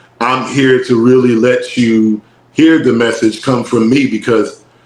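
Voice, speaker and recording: Talking at a fairly slow pace with a Philadelphia accent, a man keeps a medium pitch with ordinary variation. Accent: Philadelphia, when talking. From North Philadelphia, US. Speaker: rapper and musician. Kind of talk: casual interview chat.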